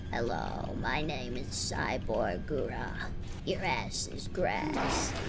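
A man's put-on character voice at a very slow pace, over loud background noise. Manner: overly stiff and trying too hard.

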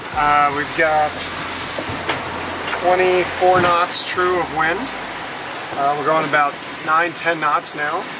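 Loud noise in the background behind a male voice. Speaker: sailing vlogger. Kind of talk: casual vlog chat. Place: boat. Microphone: phone near.

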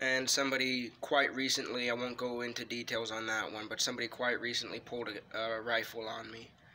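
A man talks at a moderate pace in a monotone, flat delivery, with light background noise behind him. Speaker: wrestling video creator. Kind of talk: ghost story telling, personal true-account told casually to camera. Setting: home-recorded video. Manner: halting, hesitant, filled with ums and restarts; earnest, tense, fearful tone, emphatic. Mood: calm, earnest. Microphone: phone near.

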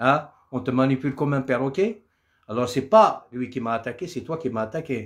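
A man's moderately paced speech shows ordinary pitch variation, with only quiet behind it. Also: medium pitch for a man. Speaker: Kabyle singer doing a live. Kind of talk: angry rant. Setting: live stream on social media. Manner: furious, combative and threatening. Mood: angry, defiant. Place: home room. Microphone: phone near.

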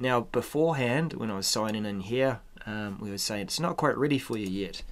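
Light background noise sits beneath a man's speech. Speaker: software trainer. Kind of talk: tutorial. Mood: relaxed, mildly impatient.

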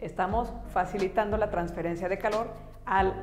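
Faint music plays in the background. A woman speaks at a moderate pace with fairly even intonation. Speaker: science educator. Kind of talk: educational science explainer. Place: studio.

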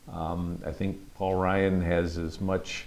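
In an American accent, a man speaks at a very deep, low pitch. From Michigan (Midland); Michigan. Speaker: congressman. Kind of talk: interview. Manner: halting, many fillers. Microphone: lapel.

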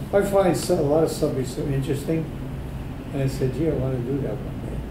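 A man with an American accent talks at a very fast pace. Noticeable background noise can be heard. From Brooklyn, New York. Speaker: painter, Navy veteran. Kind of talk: interview answer. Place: meeting room.

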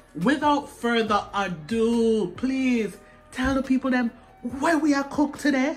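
A woman at a fairly slow pace, with faint music in the background. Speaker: host filming her father. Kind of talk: casual vlog chat. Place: kitchen.

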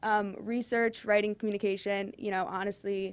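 Her words come fairly quickly as the woman talks. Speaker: undergraduate student presenter; presenter. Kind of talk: student presentation. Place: classroom.

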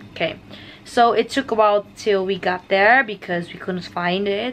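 Light background noise sits behind a woman speaking at a moderate pace. Her pitch variation is ordinary. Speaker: vlogger. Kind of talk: casual vlog chat. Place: home room. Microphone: phone near.

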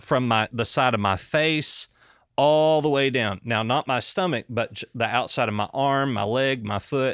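Recorded very cleanly against a silent background with a dry, close sound and no echo, a man talks at a fairly slow pace in an ordinary speaking voice, at medium pitch with ordinary pitch variation. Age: 30s. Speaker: doctor and podcast host. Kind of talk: casual chat.

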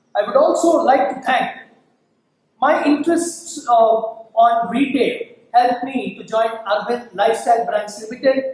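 In an Indian accent, a man speaks at an extremely high pitch and a fairly slow pace, with ordinary pitch variation. Audible room echo surrounds his voice. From India, Bangalore. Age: 40s. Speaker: assistant professor. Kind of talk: tutorial. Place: classroom. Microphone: camera far.

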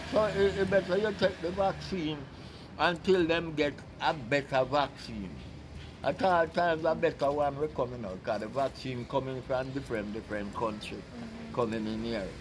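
A man's fairly high voice with vocal fry, very wide pitch swings and a moderate pace over noticeable background noise. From Jamaica. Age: 80s+. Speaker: board maker; interviewee. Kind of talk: interview answer. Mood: earnest, pleading. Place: street.

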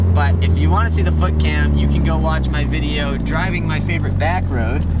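Amid loud background noise, a man talks at a fairly quick pace with ordinary pitch variation, the sound dry with no echo. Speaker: car vlogger. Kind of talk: casual driving commentary. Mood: relaxed, enjoying the drive. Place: car.

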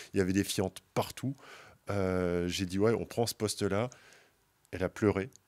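A man at a fairly slow pace and a fairly low pitch, with long, frequent pauses, fairly even intonation and a quiet background. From Moselle, eastern France. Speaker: carp angler, brand team member; podcast guest. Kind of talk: casual chat. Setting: outdoors at a fishing event. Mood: relaxed anecdotal. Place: studio. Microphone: studio mic.

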